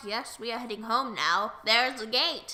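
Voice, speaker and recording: A put-on character voice, female-sounding and fairly high in pitch, at a moderate pace. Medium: read story. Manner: gruff.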